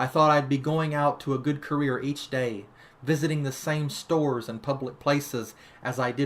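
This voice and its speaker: A man talks at a moderate pace in a normal speaking voice, with fairly even intonation. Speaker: author reading own fiction. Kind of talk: horror story reading.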